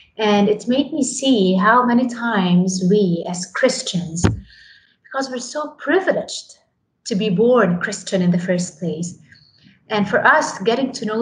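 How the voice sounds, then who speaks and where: Somewhat breathy, a woman of medium pitch speaks at a fairly slow pace with ordinary pitch variation. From Lebanon. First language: Arabic. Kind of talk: interview.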